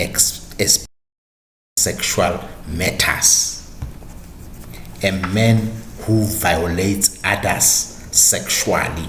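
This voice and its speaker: Speaking very slowly with a South African accent, a man's fairly low voice carries audible room echo. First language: Sotho. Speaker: podcast host and history narrator. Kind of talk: history talk.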